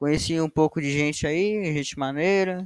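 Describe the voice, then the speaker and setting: A man with a plain, everyday voice keeps his intonation fairly even, the sound dry and close with no echo. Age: young. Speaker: university student, co-host. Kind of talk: casual chat.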